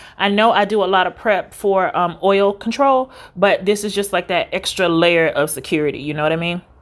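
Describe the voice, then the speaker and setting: A woman's medium-pitched, normal speaking voice at a fairly quick pace with ordinary pitch variation. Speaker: beauty vlogger. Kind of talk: makeup tutorial.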